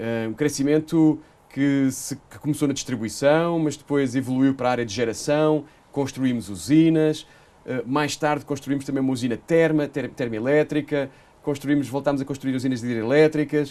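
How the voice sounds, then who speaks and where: A man with a Portuguese accent talks with a fairly high pitch, a dark, mellow tone and fairly even intonation. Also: moderate pace. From Portugal. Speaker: energy company executive. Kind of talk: interview. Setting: studio. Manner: hesitant, many fillers.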